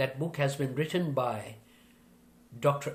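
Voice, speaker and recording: A man's medium-pitched, somewhat breathy voice at a fairly slow pace with fairly even intonation. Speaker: motivational speaker and corporate trainer. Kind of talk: motivational speech to an audience.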